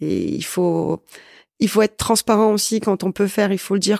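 Vocal fry colors a woman's medium-pitched voice, delivered at a moderate pace with fairly even intonation. The recording is very clean and dry, close with no echo, over a silent background. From northern France, Valenciennes. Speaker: business owner, sales and networking consultant. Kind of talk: interview.

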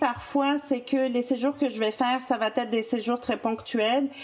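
This woman speaks in a Quebec accent with a high pitch and fairly even intonation. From France. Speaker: travel agent. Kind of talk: podcast interview.

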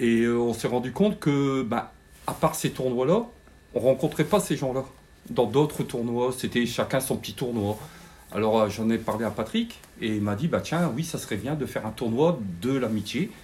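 Speaking at a moderate pace with lively intonation, a man uses an ordinary speaking voice at a medium pitch. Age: 60s. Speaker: retired refinery worker, club committee member. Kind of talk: interview.

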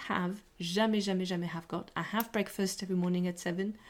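A woman speaks at a medium pitch and moderate pace, in a normal speaking voice. The recording is very clean, with a silent background. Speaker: English teacher podcaster. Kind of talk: language lesson. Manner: casual, chatty.

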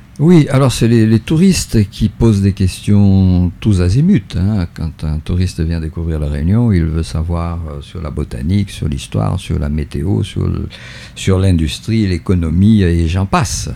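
With noticeable background noise behind him, a man speaks at a fairly slow pace in a very deep, low pitch with lively intonation. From Brazil. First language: not French (German/Spanish/Portuguese) (speaking French). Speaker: local historian. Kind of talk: radio interview. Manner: halting, many repetitions.

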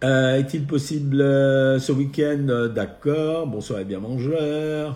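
A man speaks at a very slow pace with a fairly high pitch. His tone is dark and mellow, and his intonation fairly even. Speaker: nutritionist doctor hosting a live Q&A. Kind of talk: live stream Q&A answering viewer questions. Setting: at home, live video stream.

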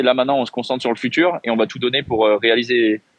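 A man talks at a very fast pace. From France. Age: 20s. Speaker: professional badminton player. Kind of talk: interview.

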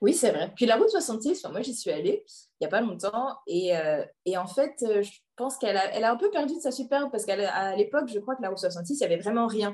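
A woman speaks at a fairly high pitch and a fairly quick pace. Her pitch swings very widely. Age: 30s. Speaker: IT project manager and book recommender. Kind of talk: casual interview chat.

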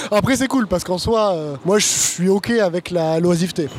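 Over noticeable background noise, a man speaks at a high pitch and a moderate pace. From France, Bordeaux. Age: 20s. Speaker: supply chain consultant. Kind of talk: casual interview chat.

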